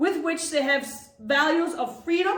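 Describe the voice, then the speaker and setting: Audible room echo surrounds a woman as she talks. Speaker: town mayor. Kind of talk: reading aloud a proclamation; public address.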